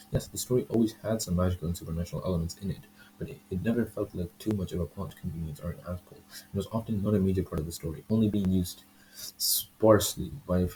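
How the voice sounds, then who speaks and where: A man talks quietly at a very fast pace, his loudness swinging widely, with ordinary pitch variation. His very deep, low voice is somewhat breathy, with a dark, mellow tone. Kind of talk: manga review talk to camera. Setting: poor home microphone. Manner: hesitant, stumbling, self-correcting.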